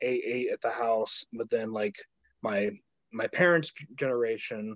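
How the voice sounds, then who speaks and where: A man speaks at a moderate pace. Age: 20s. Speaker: podcast guest sharing weight loss story. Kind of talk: casual interview.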